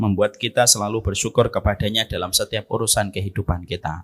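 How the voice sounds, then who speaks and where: A man's fairly low voice at a very fast pace, with fairly even intonation and a dry, close sound with no echo. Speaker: Islamic preacher. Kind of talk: sermon.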